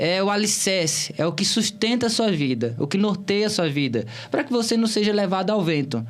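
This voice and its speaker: This man has a Bahian accent and a high pitch, talking at a moderate pace with very wide pitch swings over noticeable background noise. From Bahia, Brazil (Cícero Dantas, interior). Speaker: political candidate. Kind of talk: interview.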